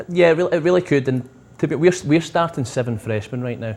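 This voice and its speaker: The man talks at a very fast pace. He has a Scottish accent. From Scotland. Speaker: soccer coach. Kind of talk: interview.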